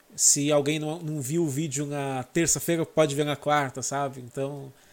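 A man talks at a fairly high pitch in a monotone, flat intonation, in a very clean recording with a silent background. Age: 30s. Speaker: motorsport YouTuber. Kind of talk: casual chat.

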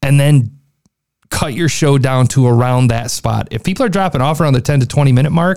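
A man talks at a very fast pace. His tone is animated and energetic. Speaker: podcast reviewer. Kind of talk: podcast review commentary. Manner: animated, energetic, informal.

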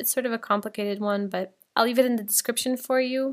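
The recording is very clean, with a silent background. A woman with a fairly high pitch and fairly even intonation speaks in a plain, everyday voice. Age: 20s. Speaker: podcast host. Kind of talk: casual monologue. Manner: casual, chatty.

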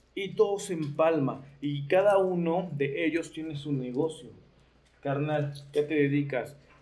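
At a very slow pace, a man speaks with a fairly high pitch and fairly even intonation. Audible room echo is present. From Mexico, Nezahualcóyotl (State of Mexico). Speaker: leather clothing designer and biker. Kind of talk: casual chat.

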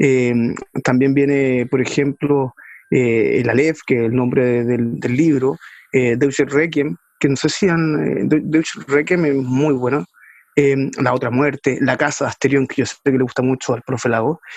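Speaking fairly slowly, a man uses an unremarkable speaking voice at a medium pitch with ordinary pitch variation. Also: dry, close sound with no echo. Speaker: podcast host. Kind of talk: casual chat about books.

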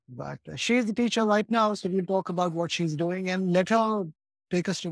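A man speaks with an Indian accent. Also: dry, close sound with no echo. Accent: westernized Indian English. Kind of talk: casual interview conversation. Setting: remote call.

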